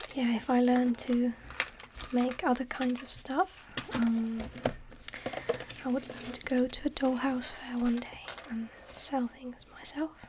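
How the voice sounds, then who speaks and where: A soft-spoken woman with a high pitch talks at a fairly slow pace, in a monotone, flat intonation. Long, frequent pauses break up her speech over noticeable background noise. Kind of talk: ASMR hobby show-and-tell to camera.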